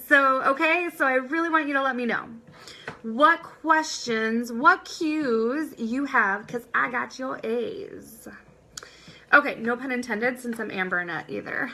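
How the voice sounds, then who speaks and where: With a raised, projected voice, a woman speaks at a fairly slow pace and a high pitch, making very wide pitch swings and big swings in loudness. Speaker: business coach. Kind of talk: live-streamed online class. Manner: energetic, upbeat.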